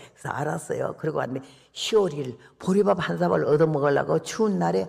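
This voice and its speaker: A man's voice swings very widely in pitch while he talks at a moderate pace. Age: 80s+. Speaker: missionary preacher. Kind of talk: sermon. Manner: storytelling, conversational.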